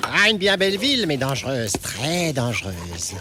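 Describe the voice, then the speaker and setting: Against clear background noise, a man puts on a character voice. He speaks at a moderate pace and a fairly high pitch. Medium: audio drama. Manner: insinuating, sly.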